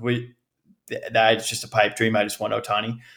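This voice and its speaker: At a moderate pace, a man talks at a medium pitch in a monotone, flat intonation. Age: 20s. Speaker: baseball fan, podcast guest. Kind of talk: casual chat.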